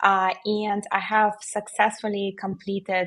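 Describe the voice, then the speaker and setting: Against a quiet background, a woman with a non-native accent talks at a very slow pace. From Belarus. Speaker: solicitor. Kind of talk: panel discussion on webinar. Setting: virtual event.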